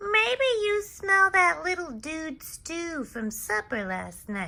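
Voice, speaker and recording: Very slow and squeaky, a female-sounding put-on character voice speaks at an extremely high pitch with very wide pitch swings. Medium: read story.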